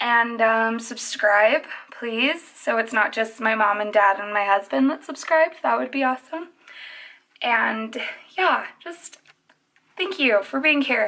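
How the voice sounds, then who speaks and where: A woman talks fairly slowly, leaving long, frequent pauses. Her voice sits fairly high, with lively intonation. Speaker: makeup artist youtuber. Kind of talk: makeup tutorial. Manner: quiet. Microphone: phone near.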